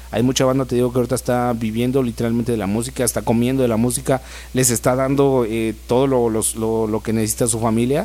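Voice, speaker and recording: A man speaks at a very fast pace with a dark, mellow tone. His intonation stays flat and monotone. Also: medium pitch for a man. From Mexico, Estado de México (Ecatepec). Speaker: rapper. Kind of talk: casual interview chat. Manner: casual, hesitant with fillers.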